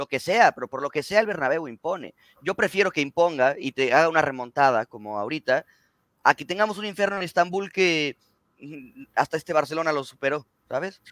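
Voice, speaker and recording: Fairly high-pitched and lively in intonation, a man talks at a fairly quick pace in a dry, close sound with no echo. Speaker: football podcast co-host. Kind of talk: casual chat.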